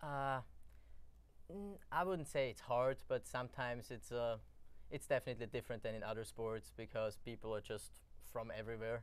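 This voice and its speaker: A man with an Austrian accent, speech broken by long, frequent pauses. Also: moderate pace. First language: German. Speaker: college soccer player. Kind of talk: interview.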